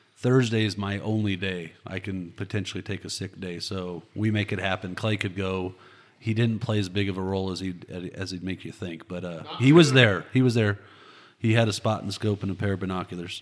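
On a very clean recording with a silent background, a man talks at a fairly quick pace with fairly even intonation. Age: 40s. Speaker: hunter. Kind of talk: casual chat.

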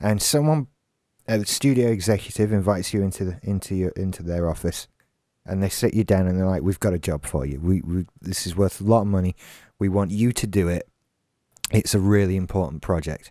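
A man with a British accent speaks at a fairly quick pace in a dark, mellow tone. His pitch is very deep and low, on a very clean recording with a silent background. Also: ordinary pitch variation. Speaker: podcast co-host. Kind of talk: casual chat. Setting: live stream with chat room.

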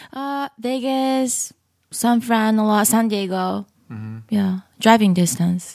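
On a very clean recording with a silent background, a woman with a Japanese accent speaks at a very slow pace and fairly high pitch, with ordinary pitch variation and big swings in loudness. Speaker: comedian. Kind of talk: casual chat.

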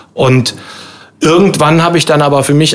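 A man at a moderate pace with ordinary pitch variation and noticeable background noise. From Rhein-Sieg-Kreis, Germany. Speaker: cabaret artist. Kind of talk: casual chat. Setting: pub.

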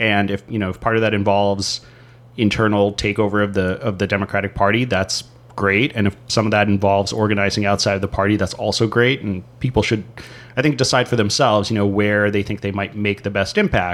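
Speaking fairly quickly in a flat monotone, a man with an American accent has a fairly low voice. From San Diego, California. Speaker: podcast co-host. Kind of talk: casual political discussion.

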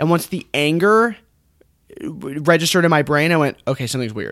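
An ordinary speaking voice with an American accent, lively intonation and a fairly quick pace, on a very clean recording with a silent background. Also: man. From United States. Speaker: movie podcast co-host. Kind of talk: casual chat.

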